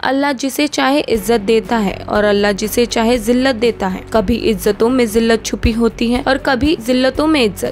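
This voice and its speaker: Music plays in the background. A woman with a fairly high pitch speaks at a moderate pace. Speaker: voice-over artist. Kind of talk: entertainment news voice-over.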